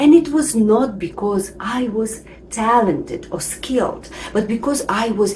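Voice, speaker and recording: There is noticeable background noise. A woman speaks at a fairly slow pace and a fairly high pitch. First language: not English. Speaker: English teacher. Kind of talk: tutorial.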